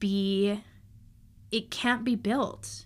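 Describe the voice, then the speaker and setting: A woman's voice carries ordinary pitch variation. The recording is very clean and the background silent. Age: 30s. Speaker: podcast host, astrologer and human design guide. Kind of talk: casual solo monologue.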